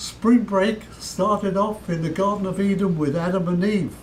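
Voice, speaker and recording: A man's high voice with an American accent, at a fairly slow pace, amid audible room echo. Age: 90s. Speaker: preacher, war veteran. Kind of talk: sermon. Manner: fiery, admonishing.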